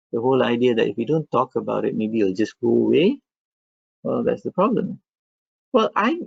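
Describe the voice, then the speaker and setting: A man speaks with a non-native accent. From Malaysia. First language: not English. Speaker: medical professor. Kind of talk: academic webinar discussion.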